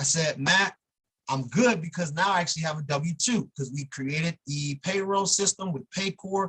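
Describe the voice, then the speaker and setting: A man speaks with a high pitch and ordinary pitch variation. The sound is dry and close, with no echo. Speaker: attorney. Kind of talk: workshop talk. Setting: video call. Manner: fast.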